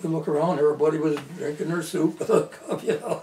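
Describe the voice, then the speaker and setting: Speaking with an Upper Midwest accent, a man holds a fairly high pitch and fairly even intonation at a moderate pace. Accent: Upper Midwest American. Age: 80s+. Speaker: local historian. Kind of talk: oral history interview. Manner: halting.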